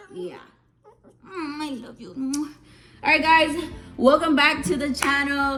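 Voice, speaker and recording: Over music in the background and audible room echo, a woman speaks in a raised, projected, high-pitched voice at a fairly slow pace, with lively intonation, big swings in loudness, and long, frequent pauses. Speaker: YouTuber. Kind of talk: casual vlog Q&A.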